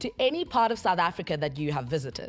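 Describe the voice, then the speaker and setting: With music in the background, a woman talks at a fairly quick pace with very wide pitch swings. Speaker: TV show host. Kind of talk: TV talk show host. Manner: upbeat.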